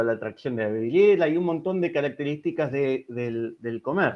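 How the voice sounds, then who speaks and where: The pace of this man's speech is moderate. He uses lively intonation. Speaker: engineering researcher giving a webinar. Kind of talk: technical lecture. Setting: online webinar. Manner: hesitant fillers.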